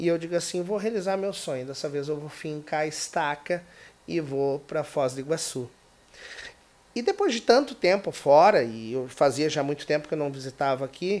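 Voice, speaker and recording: A man speaks with a southern Brazilian accent at a fairly high pitch. His pitch varies in an ordinary way, and his pace is moderate. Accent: gaúcho (southern Brazilian). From Brazil, Rio Grande do Sul (Porto Alegre). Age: 40s. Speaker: political YouTuber and activist. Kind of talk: podcast interview.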